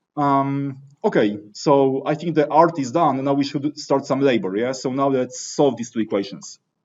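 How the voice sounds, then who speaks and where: A man with a fairly high pitch talks at a moderate pace, hardly pausing at all. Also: ordinary pitch variation. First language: not English. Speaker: teaching assistant leading engineering discussion section. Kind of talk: lecture. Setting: classroom with students. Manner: conversational, interactive.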